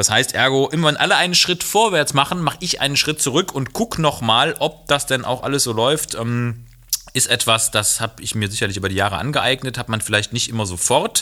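Over noticeable background noise, a man talks at a fairly quick pace. His pitch is medium and his intonation lively. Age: 30s. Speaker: doctor. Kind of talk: casual chat.

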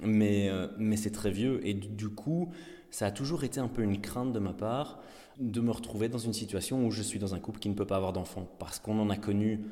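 There is audible room echo around this man's dark, mellow tone. He speaks at a moderate pace with a fairly low pitch. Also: ordinary pitch variation. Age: 30s. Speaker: father sharing pregnancy loss story. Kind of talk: personal testimony. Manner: halting.

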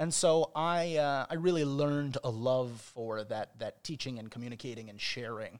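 With a normal speaking voice, a man talks at a moderate pace and medium pitch, with ordinary pitch variation, big swings in loudness and hardly any pauses, in a very clean recording with a silent background. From Chicago, US Midwest. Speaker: rabbi. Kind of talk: casual interview chat.

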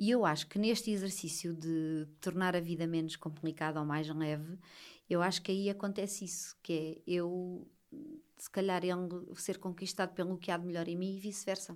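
A woman speaks at a moderate pace in a plain, everyday voice, fairly low in pitch with fairly even intonation. The recording is very clean, with a silent background. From Portugal, Lisbon. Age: 30s. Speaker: social media writing teacher and mother. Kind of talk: casual interview.

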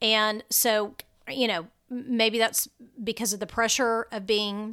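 A woman with an American accent, fairly high-pitched, bright and sharp in tone, at a moderate pace, on a very clean recording with a silent background. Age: 50s. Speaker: travel blogger and podcast host. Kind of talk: solo podcast monologue. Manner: hesitant with frequent fillers.

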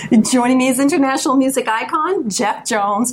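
The voice is upbeat and moves at a fairly quick pace over noticeable background noise. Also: woman. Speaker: radio host. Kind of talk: radio dj patter, interview host. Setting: radio studio. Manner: polished, upbeat, announcer-like.

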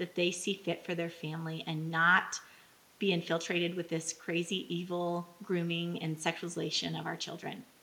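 Speaking at a moderate pace, a woman has an unremarkable speaking voice with fairly low pitch. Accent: American. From Texas, Midland. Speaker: parent activist. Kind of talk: impassioned rally-style speech against a drag event. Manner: fervent, run-on rallying cadence.

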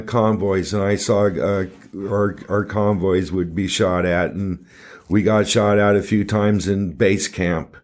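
An ordinary speaking voice with an American accent moves at a fairly slow pace on a very clean recording with a silent background. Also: man. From Southern California. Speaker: recovery guest sharing his story. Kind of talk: casual interview, personal story. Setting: studio.

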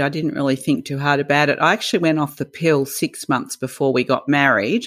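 With an Australian accent, a woman speaks at a very deep, low pitch and a moderate pace. The recording is very clean, the background silent. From Melbourne, Australia. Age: 60s. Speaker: podcast co-host. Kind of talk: casual chat.

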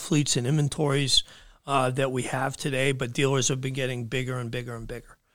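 A man with a New England accent talks at a fairly quick pace in a medium pitch. His intonation stays fairly even, and the recording is very clean with a silent background. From southern New Hampshire. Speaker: equipment dealership owner. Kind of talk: casual interview. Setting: studio.

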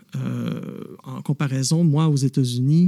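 Dry and close with no echo, a man's fairly high voice carries a dark, mellow tone. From Quebec, Montreal. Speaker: novelist and former police officer. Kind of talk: interview. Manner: hesitant, many fillers.

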